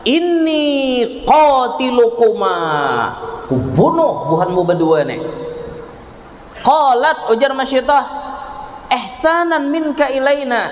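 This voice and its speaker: A man with a South Kalimantan accent speaks at an extremely high pitch, with very wide pitch swings. Noticeable background noise can be heard. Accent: Kelua Banjar dialect. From Kelua, Tabalong, South Kalimantan. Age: young. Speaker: Islamic preacher. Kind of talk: religious sermon. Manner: humorous.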